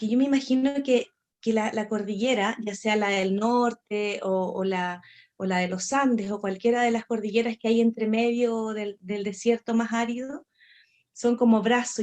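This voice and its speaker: With a plain, everyday voice, a woman speaks at a moderate pace and a fairly high pitch, keeping her intonation fairly even. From northern Chile. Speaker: storyteller. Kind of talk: interview.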